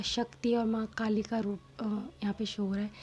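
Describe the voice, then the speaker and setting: The voice is soft-spoken, with a dark, mellow tone. It moves at a moderate pace. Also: woman. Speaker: tarot reader. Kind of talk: tarot reading.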